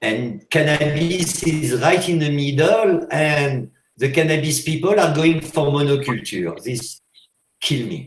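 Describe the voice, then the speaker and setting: A man speaks in a French accent at a fairly slow pace. His pitch is fairly high, with ordinary variation. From France. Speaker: hash maker. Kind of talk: interview. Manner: loud; animated.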